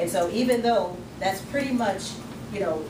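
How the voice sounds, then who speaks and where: A woman talks at a moderate pace. Background noise is noticeable. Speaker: credit restoration speaker and author. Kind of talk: workshop talk. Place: meeting room. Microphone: camera far.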